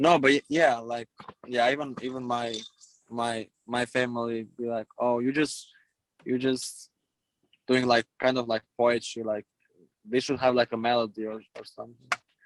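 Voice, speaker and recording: A man with an Albanian accent and a medium pitch talks at a moderate pace in monotone, flat intonation, with long, frequent pauses and a dry, close sound with no echo. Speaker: rapper and event promoter. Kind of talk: casual chat. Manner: halting, repeats words.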